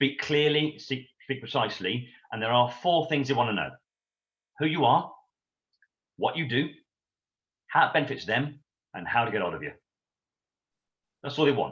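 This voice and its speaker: Speaking with an English accent, a man uses a medium pitch with vocal fry and ordinary pitch variation, keeping a moderate pace broken by long, frequent pauses. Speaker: sales trainer. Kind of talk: interview Q&A. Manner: loud; animated.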